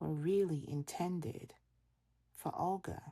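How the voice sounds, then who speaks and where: A woman speaks in a dark, mellow tone that is somewhat breathy, with ordinary pitch variation. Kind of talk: audiobook reading of classic literature. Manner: soft, relaxing ASMR style.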